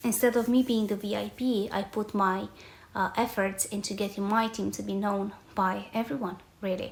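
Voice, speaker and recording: A woman with a Romanian accent speaks at a moderate pace and medium pitch, somewhat breathy, in monotone, flat intonation. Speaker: podcast host, reputation coach. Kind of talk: personal storytelling monologue.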